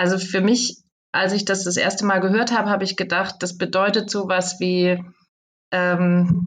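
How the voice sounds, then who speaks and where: Woman's voice at a medium pitch and moderate pace. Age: 50s. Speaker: communication trainer and author. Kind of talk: interview.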